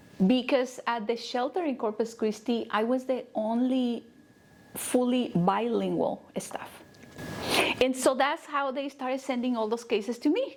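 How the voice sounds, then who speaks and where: A woman with a Spanish accent and high pitch at a moderate pace, over noticeable background noise. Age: 30s. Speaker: nonprofit CEO and counselor. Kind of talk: interview.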